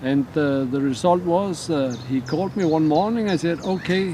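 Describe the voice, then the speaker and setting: A man talks at a moderate pace while noticeable background noise is heard. His voice is fairly high in pitch and varies in an ordinary way. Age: 60s. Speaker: interviewee sharing diabetes story. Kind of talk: interview testimony. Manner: halting.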